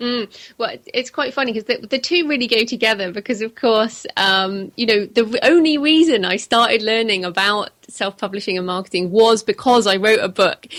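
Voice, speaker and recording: A woman's fairly high voice at a moderate pace, with ordinary pitch variation and hardly any pauses. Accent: British. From England. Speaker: author. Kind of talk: interview.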